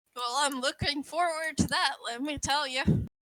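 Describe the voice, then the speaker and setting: Putting on a character voice, a woman speaks high. Her pace is moderate. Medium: actual play. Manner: friendly, welcoming.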